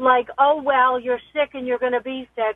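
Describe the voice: The intonation stays fairly even. The sound is dry and close, with no echo. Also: woman.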